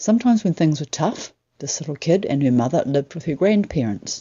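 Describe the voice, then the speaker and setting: A woman's very deep, low voice with very wide pitch swings at a moderate pace. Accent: New Zealand. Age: 60s. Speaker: writer. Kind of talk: personal story told on stage.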